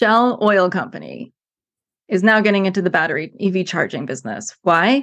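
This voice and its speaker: A woman with an American accent and vocal fry, lively intonation and a moderate pace, over a quiet background. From United States. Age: middle-aged. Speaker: former environmental planner, climate speaker. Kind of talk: casual interview conversation.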